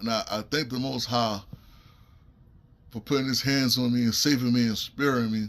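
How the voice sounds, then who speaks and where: A man talks at a medium pitch and a moderate pace with monotone, flat intonation. He takes long, frequent pauses. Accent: New York. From US Northeast, Brooklyn, New York. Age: 40s. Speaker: stroke survivor. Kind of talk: testimony. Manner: halting.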